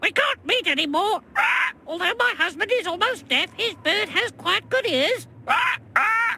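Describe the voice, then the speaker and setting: An extremely high-pitched, put-on character voice talks at a moderate pace. Background noise is clearly heard. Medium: video game.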